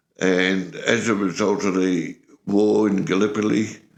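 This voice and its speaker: A man at a very slow pace, fairly low in pitch, with fairly even intonation. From rural Australia. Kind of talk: interview answer. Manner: casual, reminiscing.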